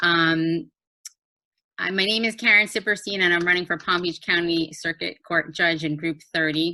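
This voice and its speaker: With a New Jersey accent, a woman speaks at a moderate pace. Her pitch is fairly low, with ordinary pitch variation. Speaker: judicial candidate, lawyer. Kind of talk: candidate introduction. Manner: hesitant, many fillers.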